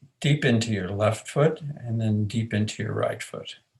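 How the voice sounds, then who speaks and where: A man speaks at a fairly slow pace with medium pitch and fairly even intonation. His voice is somewhat breathy. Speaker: aikido and men's work facilitator. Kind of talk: guided movement instruction.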